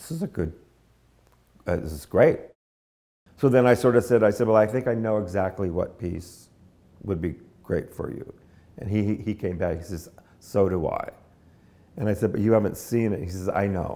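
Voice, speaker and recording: At a moderate pace, a man speaks with a fairly low pitch and a dark, mellow tone. His pitch varies in an ordinary way, and long pauses come often. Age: 70s. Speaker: dance choreographer. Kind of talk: interview. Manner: halting, repeats words.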